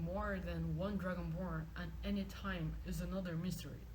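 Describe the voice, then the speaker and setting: The pace is fairly slow, and there is noticeable background noise. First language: not English. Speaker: video game lore reader. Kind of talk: reading aloud. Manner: halting, repeats words.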